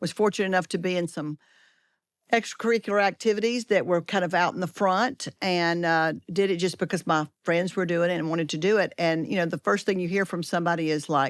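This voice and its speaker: Someone with a strong Southern US accent talks at a very fast pace with ordinary pitch variation, in a dry, close sound with no echo on a very clean recording with a silent background. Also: woman, fairly low pitch for a woman. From US South, Georgia and Alabama. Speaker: edtech leader, co-author. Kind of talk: casual chat.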